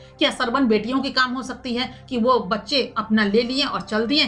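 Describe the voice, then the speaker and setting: Background music can be heard. Over it, a woman talks with fairly even intonation. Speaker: news presenter. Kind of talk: news commentary.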